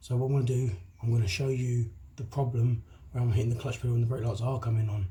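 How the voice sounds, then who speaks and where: Somewhat breathy, a man speaks at a very fast pace. His medium pitch holds a fairly even intonation. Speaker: DIY car mechanic. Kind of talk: how-to tutorial talk to camera. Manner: casual, chatty.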